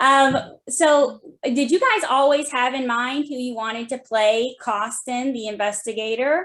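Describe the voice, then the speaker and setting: Speaking at a fairly slow pace, a woman uses a high pitch and ordinary pitch variation. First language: not Russian, learning Russian. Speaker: interviewer. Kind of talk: interview.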